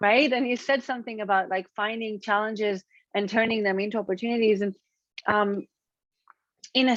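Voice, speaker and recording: A woman with an Israeli accent speaks at a moderate pace and a fairly high pitch, with ordinary pitch variation. The background is quiet, and the sound is dry and close with no echo. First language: Hebrew. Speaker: author. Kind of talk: interview conversation. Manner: halting.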